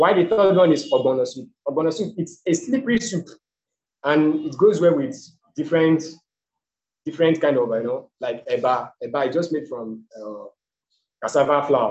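Pausing long and often, a man with a Nigerian accent talks at a moderate pace with a fairly high pitch and very wide pitch swings. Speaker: presenter on Nigeria. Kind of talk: slide presentation. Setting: video call.

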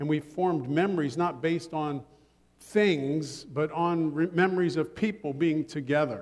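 Using an unremarkable speaking voice, a man with an American accent talks at a fairly high pitch with ordinary pitch variation. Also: moderate pace. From Ohio. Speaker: pastor. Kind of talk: sermon. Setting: church.

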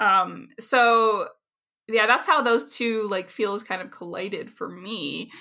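A woman speaks very slowly in a fairly high, bright, sharp voice with vocal fry, ordinary pitch variation and big swings in loudness. The recording is very clean, with a silent background. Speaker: linguistics researcher. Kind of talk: interview.

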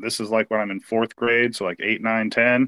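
Dry, close sound with no echo, in an American accent. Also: man. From US Pacific Northwest, Portland, Oregon. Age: 40s. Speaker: sports fan. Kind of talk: casual chat.

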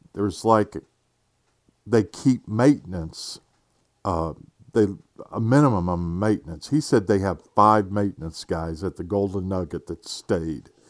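On a very clean recording with a silent background, a man with a fairly low voice speaks at a fairly slow pace, leaving long, frequent pauses. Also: ordinary pitch variation. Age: 50s. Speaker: podcast host. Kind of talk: casual monologue. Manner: halting, many fillers.

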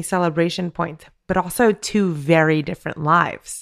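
With a very clean recording and a silent background, a woman talks at a moderate pace in an ordinary speaking voice, her medium pitch carried by fairly even intonation. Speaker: podcast co-host. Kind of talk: casual interview chat.

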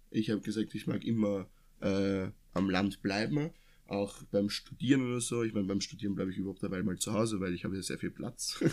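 A man's fairly low voice with ordinary pitch variation and a fairly quick pace. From Austria, near Vienna. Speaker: podcast co-host. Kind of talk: casual chat. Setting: sitting side by side in one room.

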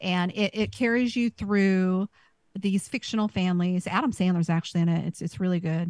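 A woman speaks at a medium pitch and moderate pace in an unremarkable speaking voice, with fairly even intonation and very even loudness. The sound is dry and close with no echo, over a quiet background. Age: 40s. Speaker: podcast co-host. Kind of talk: casual chat.

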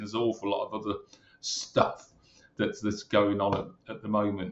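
In a Brummie accent, a man speaks fairly quickly with a fairly low pitch and monotone, flat intonation. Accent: Brummie (Birmingham English). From Birmingham, England. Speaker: retired police superintendent. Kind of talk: interview.

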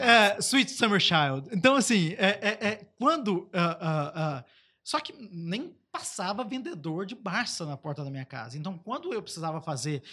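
A man speaks in a raised, projected voice, high in pitch, with very wide pitch swings. His pace is fairly slow, and his loudness swings widely. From Brazil, Baixada Fluminense (Rio de Janeiro). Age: 30s. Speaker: digital innovation advocate, former government official. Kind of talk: casual podcast interview.

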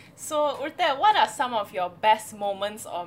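Noticeable background noise runs under the speech. A woman talks at a moderate pace with ordinary pitch variation. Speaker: podcast host. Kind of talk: casual interview chat. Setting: video call.

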